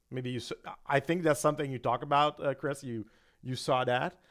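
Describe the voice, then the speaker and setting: This man speaks with a French-Canadian accent. His pitch sits fairly high. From Quebec. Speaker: gambling channel co-host. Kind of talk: casual live-stream chat. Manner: halting.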